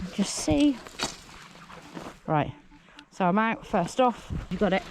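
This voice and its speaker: Over noticeable background noise, a woman with a British accent speaks at a very slow pace with very wide pitch swings. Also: medium pitch for a woman, very even loudness. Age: middle-aged. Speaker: metal detectorist. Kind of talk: casual talk to camera.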